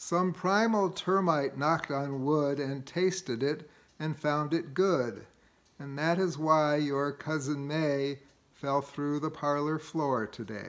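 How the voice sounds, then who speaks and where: A man talks at a very slow pace. His pitch sits fairly high, with ordinary variation. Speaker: amateur poetry reader. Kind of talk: poem reading. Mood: gently humorous, relaxed. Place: home room. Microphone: phone near.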